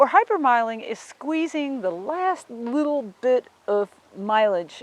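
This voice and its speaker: A woman's voice with very wide pitch swings. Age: 50s. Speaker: driver, hypermiler. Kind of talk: interview.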